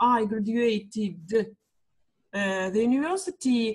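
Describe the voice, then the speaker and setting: A woman speaks with a Russian accent at a very slow pace. Her voice is fairly high and somewhat breathy. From Russia, small town between Moscow and Saint Petersburg. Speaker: kindergarten English teacher, student. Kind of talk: language lesson conversation. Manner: halting, many fillers.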